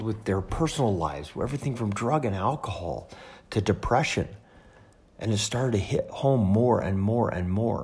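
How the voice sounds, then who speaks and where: At a moderate pace, a man with a fairly low pitch talks in a somewhat breathy voice with lively intonation. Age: 50s. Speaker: podcast host. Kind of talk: personal storytelling monologue. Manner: halting, many fillers.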